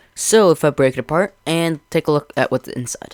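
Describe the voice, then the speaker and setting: Moderately paced male speech, dry and close-miked, without any echo. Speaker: Minecraft video creator. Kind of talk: tutorial. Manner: halting.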